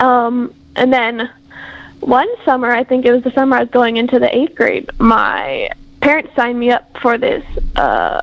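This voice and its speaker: A high-pitched female voice at a moderate pace, with fairly even intonation amid noticeable background noise. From Hawaii, Big Island. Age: 20s. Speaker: university student. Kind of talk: interview.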